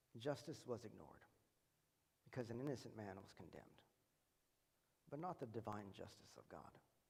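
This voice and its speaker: There is audible room echo as a man with a medium-pitched, somewhat breathy voice speaks with long, frequent pauses. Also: lively intonation. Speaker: preacher. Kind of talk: sermon. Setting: church. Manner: fast.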